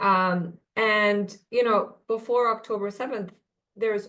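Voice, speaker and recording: Against a quiet background, a woman with an Arabic accent keeps a fairly even intonation. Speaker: policy analyst. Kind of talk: webinar panel discussion. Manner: halting, many fillers and repetitions.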